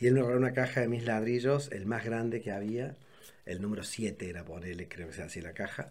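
A man has an ordinary speaking voice with ordinary pitch variation. He talks at a fairly quick pace. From Córdoba, Argentina. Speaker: architect and art collector. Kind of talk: casual chat.

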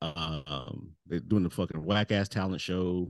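A man at a fairly slow pace, in a dry, close sound with no echo. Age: 40s. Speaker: comedian. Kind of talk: casual chat. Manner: halting.

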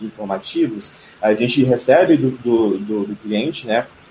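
Fairly slow speech with ordinary pitch variation over noticeable background noise. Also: man. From Brasília, Brazil. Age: 20s. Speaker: digital marketing customer success specialist. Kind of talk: live stream panel discussion. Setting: online live stream.

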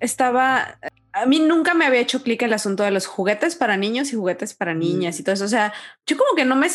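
Speaking at a fairly quick pace, a woman lets her pitch swing very widely. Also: quiet background. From Mexico. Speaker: podcast co-host. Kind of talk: casual chat. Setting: remote recording.

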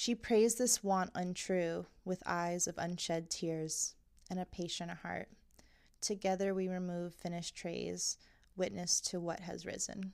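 In an American accent, a woman speaks with a fairly low pitch and fairly even intonation on a very clean recording with a silent background. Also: fairly slow pace. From Long Island, New York. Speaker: poet and writer. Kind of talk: poetry reading; casual interview chat. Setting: recorded at home. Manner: halting, many fillers.

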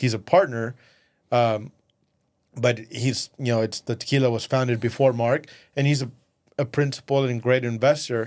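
A man with a Spanish accent speaks at a moderate pace and medium pitch, with fairly even intonation and long, frequent pauses, on a very clean recording with a silent background. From Mexico, raised in West Texas from age 11. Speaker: entrepreneur. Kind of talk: casual interview. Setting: studio.

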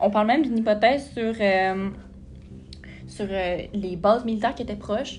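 A woman's voice with fairly even intonation and audible room echo. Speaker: podcast host. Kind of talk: casual storytelling podcast.

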